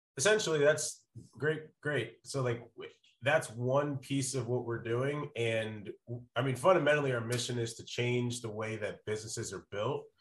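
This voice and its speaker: At a medium pitch and moderate pace, a man speaks somewhat breathily, with big swings in loudness and ordinary pitch variation. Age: 30s. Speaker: sales consultant and startup advisor. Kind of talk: casual interview chat.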